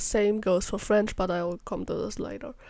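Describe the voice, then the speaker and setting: A woman's dark, mellow voice with a German accent, on a very clean recording with a silent background. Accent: German accent, self-described as terrible. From Germany. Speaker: YouTuber, vocal synth tuner. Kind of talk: voice-over rant.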